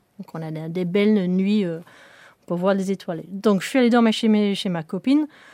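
A woman with a British accent has a medium-pitched voice with a dark, mellow tone and ordinary pitch variation. The very clean recording sounds dry and close, with no echo and a silent background. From northern England, Sheffield. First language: English (speaking French). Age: young. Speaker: rocket propulsion engineer. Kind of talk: interview. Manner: halting.

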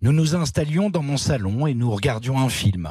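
Against a quiet background, a man with a somewhat breathy voice speaks at a fairly slow pace with lively intonation. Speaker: radio columnist. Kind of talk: reading aloud. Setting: studio.

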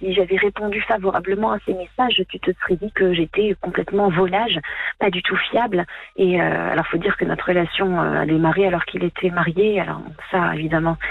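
Talking at a fairly quick pace, a woman keeps a fairly low pitch and fairly even intonation amid noticeable background noise. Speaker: caller. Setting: phone call.

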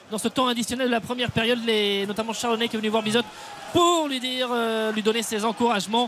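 A man speaks at a very fast pace with an extremely high pitch. His intonation stays fairly even over noticeable background noise. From Brittany, France. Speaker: football match reporter. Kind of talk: live commentary.

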